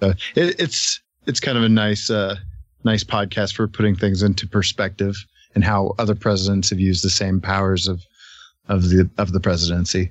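This man's fairly low voice holds a monotone, flat intonation. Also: moderate pace. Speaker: podcaster. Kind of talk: casual chat. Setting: online group call.

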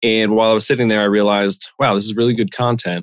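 A man talks at a fairly quick pace in a fairly low pitch, with an American accent. It is a plain, everyday voice, recorded dry and close with no echo. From Pennsylvania, Lehigh Valley. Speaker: insurance specialist and podcaster. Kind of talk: interview.

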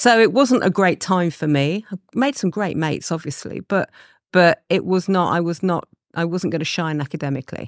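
Speaking with an East Midlands accent, a woman uses lively intonation at a moderate pace and a fairly low pitch, in a very clean recording with a silent background and a dry, close sound with no echo. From England, Leicester. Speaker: advertising creative director. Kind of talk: interview.

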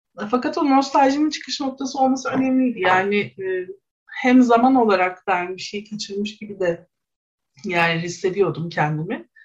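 A woman with an unremarkable speaking voice talks at a moderate pace, her pitch medium and her intonation lively. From Istanbul, Kadıköy (Bostancı). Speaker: sociology researcher. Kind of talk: radio interview.

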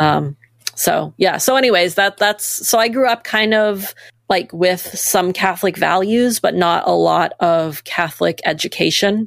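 A plain, everyday voice from a woman with an American accent, medium in pitch, at a fairly slow pace. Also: ordinary pitch variation. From Maine, US. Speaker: nonprofit staff member and co-founder. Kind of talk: casual interview.

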